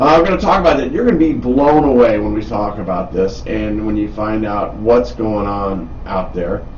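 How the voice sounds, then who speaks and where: A man talks at a moderate pace with hardly any pauses. Noticeable background noise and audible room echo are present. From Wisconsin, Milwaukee. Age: 60s. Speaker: radio host. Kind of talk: casual chat. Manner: animated.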